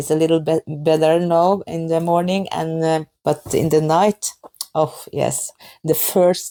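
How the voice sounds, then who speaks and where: A woman with a Norwegian accent, very deep and low in pitch, with a dark, mellow tone, speaking at a fairly slow pace in a dry, close sound with no echo. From Norway. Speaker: knitting podcaster. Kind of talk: casual podcast talk. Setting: kitchen at home. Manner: halting, many fillers.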